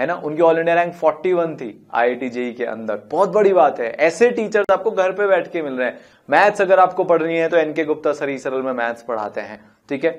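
Lively intonation and a high pitch mark a man talking at a moderate pace against a quiet background. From India. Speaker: chemistry teacher. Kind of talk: lecture. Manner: animated. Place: studio.

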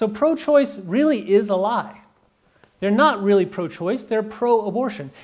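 A man speaks loudly at a fairly slow pace, his voice high with lively intonation. The background is quiet. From Texas. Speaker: pro-life campaigner and speaker; speaker. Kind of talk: talk to a live audience. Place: meeting room.

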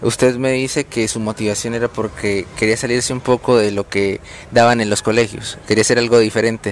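A man's voice over noticeable background noise. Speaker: student interviewer. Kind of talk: interview questions.

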